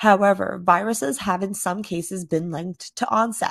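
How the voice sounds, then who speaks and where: At a moderate pace, a woman speaks in a normal speaking voice at medium pitch with ordinary pitch variation. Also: quiet background. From Canada (Toronto). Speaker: patient advocate. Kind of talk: scripted narration; recorded interview.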